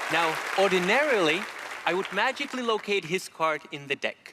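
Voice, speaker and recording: A man's raised, projected voice sits high in pitch with lively intonation. Crowd noise fills the background. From Czech Republic. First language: Czech. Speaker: magician. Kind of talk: stage performance patter. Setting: stage with audience. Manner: theatrical.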